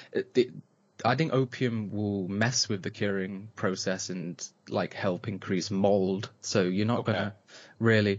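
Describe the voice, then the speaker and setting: Fairly even intonation in an East Midlands accent. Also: man, fairly low pitch for a man, fairly slow pace. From England, Nottingham area. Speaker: podcast co-host, cannabis grower. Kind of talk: casual chat.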